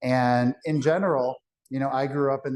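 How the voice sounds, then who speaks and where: A man talks in a plain, everyday voice. His intonation is fairly even and his pace moderate. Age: 40s. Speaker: financial advisor. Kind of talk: seminar presentation to live audience.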